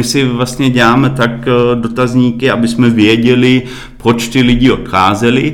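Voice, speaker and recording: Someone with a German accent speaks at a fairly slow pace, with audible room echo and noticeable background noise. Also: man. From Germany, Berlin. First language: German (speaking Czech). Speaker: marketing director. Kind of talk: interview.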